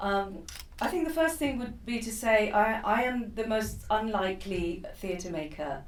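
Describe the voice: Against audible room echo, a woman of medium pitch speaks at a fairly slow pace with ordinary pitch variation.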